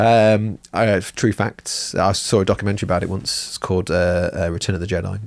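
The speech comes in an English accent at a fairly quick pace. The intonation stays monotone and flat. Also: man, very clean recording, silent background. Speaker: miniature painting podcast co-host. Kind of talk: casual chat. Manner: jokey.

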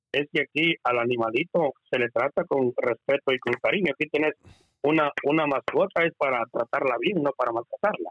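A man with an ordinary speaking voice talks at a moderate pace and a fairly high pitch. His loudness stays very even, with ordinary pitch variation. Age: 50s. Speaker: entertainer. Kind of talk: casual chat.

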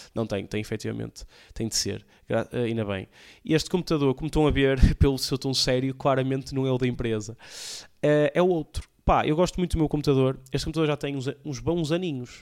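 On a very clean recording with a silent background, a man speaks at a fairly quick pace, his medium pitch showing ordinary variation. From Portugal, Porto area (Alfena). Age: young. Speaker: comedian and podcast host. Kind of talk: casual solo podcast monologue. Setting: home recording with camera and PC. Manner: casual, slangy, halting with fillers.

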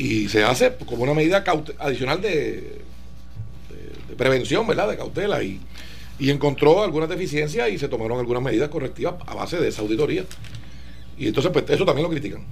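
Amid noticeable background noise and audible room echo, a man talks at a very fast pace broken by long, frequent pauses. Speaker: political guest. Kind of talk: radio interview.

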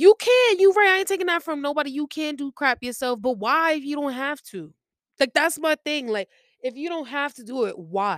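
A woman with a high voice speaks at a moderate pace, her pitch swinging very widely and her loudness rising and falling sharply, in a dry, close recording with no echo. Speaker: podcast host. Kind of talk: casual monologue. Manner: rambling stream of consciousness.

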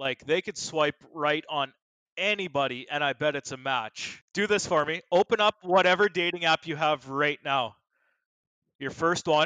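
With a bright, sharp tone and fairly high pitch, a man speaks at a moderate pace with ordinary pitch variation, in a dry, close recording with no echo and a quiet background. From small-town rural area. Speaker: podcast guest. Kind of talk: casual chat.

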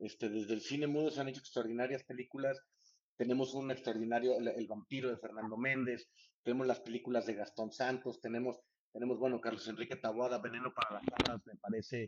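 A man speaks very quickly, his voice sitting at a medium pitch. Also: fairly even intonation. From Mexico, San Luis Potosí. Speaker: film director. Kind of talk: casual interview.

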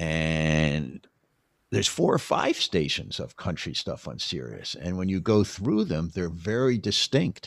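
In an American accent, a man with a very deep, low pitch speaks at a fairly slow pace with lively intonation on a very clean recording with a silent background. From US Northeast, Philadelphia or New York area. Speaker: documentary filmmaker. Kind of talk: interview, casual conversation. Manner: halting, many repeated starts.

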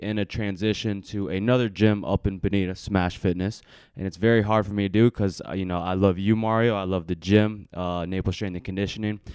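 A man with a plain, everyday voice speaks at a fairly quick pace with hardly any pauses, his pitch fairly low and intonation fairly even, on a very clean recording with a silent background. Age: 20s. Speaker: personal trainer and podcast co-host. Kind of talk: casual chat. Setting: live podcast.

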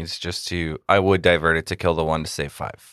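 The speech is very fast with a bright, sharp tone over a quiet background. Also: man. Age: 30s. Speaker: podcast co-host. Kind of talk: casual chat.

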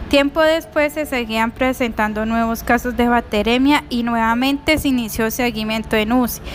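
Using a high pitch and fairly even intonation, a woman speaks at a moderate pace with hardly any pauses. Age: 20s. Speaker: nursing assistant. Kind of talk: prepared narration of a case.

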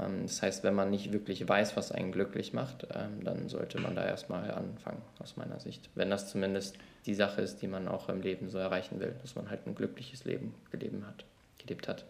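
A man with an ordinary speaking voice talks at a moderate pace with hardly any pauses. His pitch is fairly low, with fairly even intonation. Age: 20s. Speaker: management consultant and YouTuber. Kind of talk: casual chat.

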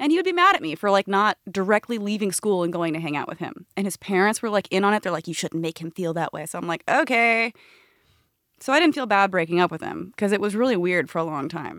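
Very fast speech comes from a woman at a medium pitch with ordinary pitch variation. The recording is very clean, with a silent background. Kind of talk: casual chat. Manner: animated.

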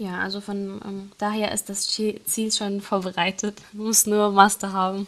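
A woman's medium-pitched voice with a slight non-native accent, fairly slow and almost without pauses, flat and monotone in intonation, with big shifts in loudness. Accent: barely noticeable foreign. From Syria. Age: 20s. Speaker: engineering student. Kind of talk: interview. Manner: hesitant, many fillers.

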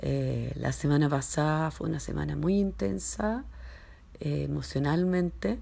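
Audible room echo surrounds a fairly slow delivery. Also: woman. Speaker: entrepreneur and mother. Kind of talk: personal voice message. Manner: hesitant, many fillers.

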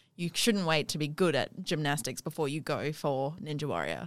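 A woman talks at a moderate pace in a very deep, low pitch with vocal fry and ordinary pitch variation. The recording is very clean with a silent background. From South Africa (Johannesburg). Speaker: podcast host. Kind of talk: casual interview chat.

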